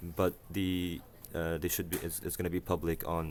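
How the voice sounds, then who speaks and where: Speaking at a fairly quick pace, a man with a very deep, low pitch talks with an Arabic accent. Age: 20s. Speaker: university student, vlogger. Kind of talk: casual vlog monologue. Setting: university library. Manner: halting, many fillers and self-corrections.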